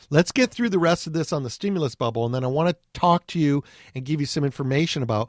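A man with an American accent has a fairly high pitch and an ordinary speaking voice. The sound is dry and close with no echo, over a quiet background. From Southern California (Anaheim). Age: 50s. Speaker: financial radio host. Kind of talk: podcast monologue.

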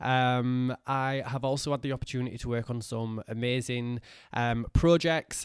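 In an unremarkable speaking voice, a man talks at a fairly slow pace with medium pitch and fairly even intonation. The recording is very clean, with a silent background. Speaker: brow stylist and trainer. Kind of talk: casual chat.

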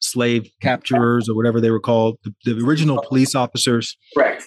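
Against a quiet background, a man talks at a medium pitch in a plain, everyday voice. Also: dry, close sound with no echo. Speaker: podcast host. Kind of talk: interview conversation.

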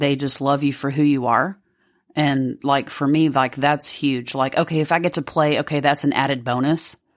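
A woman with a Southern US accent speaks at a moderate pace in a very deep, low pitch. Her intonation is monotone and flat, her loudness very even, on a very clean recording with a silent background. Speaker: podcast co-host.

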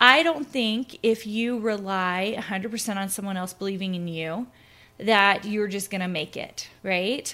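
A woman with an American accent and a bright, sharp tone, medium in pitch with ordinary pitch variation, at a moderate pace. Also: very clean recording, silent background. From US South, Tennessee (Clarksville). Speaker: podcast host, design business coach. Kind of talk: solo podcast monologue. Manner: casual, with frequent fillers.

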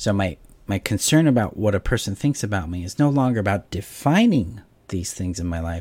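Over a silent background in a very clean recording, a man speaks at a fairly quick pace with a fairly low pitch. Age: 40s. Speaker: relationship coach. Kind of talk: solo talk to camera, coaching video. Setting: home video stream while moving house.

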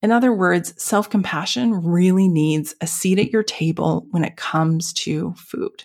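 A woman speaks with a normal speaking voice, fairly low in pitch, with ordinary pitch variation. Her pace is fairly slow. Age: 40s. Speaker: podcast host, dietitian and naturopathic doctor. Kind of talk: solo podcast monologue. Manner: casual, conversational.

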